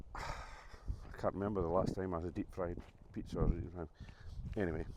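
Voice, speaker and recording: The speech moves at a fairly quick pace with fairly even intonation. Noticeable background noise runs underneath. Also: man, very deep, low pitch for a man. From Scotland. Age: 60s. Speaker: vlogger. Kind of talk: casual vlog talk to camera. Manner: hesitant, many fillers.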